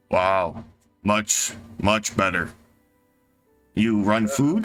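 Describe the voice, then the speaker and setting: A man's put-on character voice, fairly low in pitch and very slow, with faint music in the background. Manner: impressed, praising.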